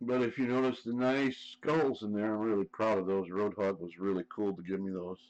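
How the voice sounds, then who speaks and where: In an Ohio accent, a man speaks at a fairly low pitch. His pace is fairly quick, with ordinary pitch variation. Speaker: live streamer. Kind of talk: casual chat.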